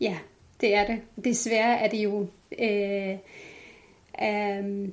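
This is a woman speaking. Her pitch is fairly high. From Jordan (Palestinian family). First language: Arabic (speaking Danish). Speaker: women's rights activist. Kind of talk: interview.

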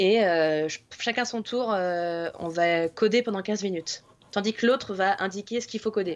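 In a plain, everyday voice, a woman speaks at a fairly slow pace and medium pitch with ordinary pitch variation. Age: 20s. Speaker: IT consultant. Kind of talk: casual chat.

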